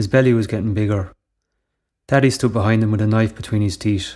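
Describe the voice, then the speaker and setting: A man speaks with an Irish accent. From Ireland, Tipperary. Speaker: writer. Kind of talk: short story reading.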